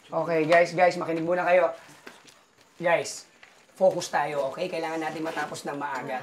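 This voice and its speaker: A woman speaks at a fairly quick pace with fairly even intonation and a fairly low pitch. Noticeable background noise is present. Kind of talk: acted dialogue, giving instructions. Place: home room.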